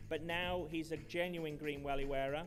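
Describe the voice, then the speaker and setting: A man with a Manchester accent speaks at a moderate pace and a fairly high pitch. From Manchester, England. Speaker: conference host. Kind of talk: awards ceremony speech.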